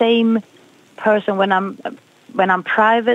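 A woman with a Swedish accent speaks in a dry recording with no echo. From Sweden. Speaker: jazz singer. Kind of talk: interview. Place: studio.

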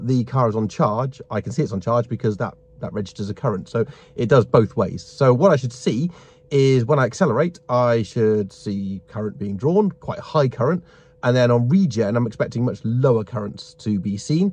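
A man's somewhat breathy voice with lively intonation at a moderate pace, in a dry sound with no echo. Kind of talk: casual vlog chat. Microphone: phone near.

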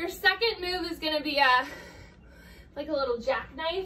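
At a moderate pace, a woman raises and projects her voice with ordinary pitch variation, with audible room echo and light background noise. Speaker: fitness instructor. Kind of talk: workout instruction. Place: home room. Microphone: camera far.

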